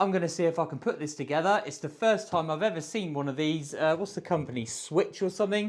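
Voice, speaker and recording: A very fast, fairly high-pitched man with a British accent. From UK. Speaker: DIY workshop video maker. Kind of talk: unboxing tutorial. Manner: casual, hesitant with fillers.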